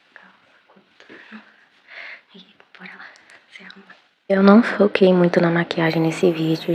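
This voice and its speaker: Soft-spoken, a woman talks with fairly even intonation. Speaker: lifestyle vlogger. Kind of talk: vlog narration. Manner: soft-spoken, talking quietly.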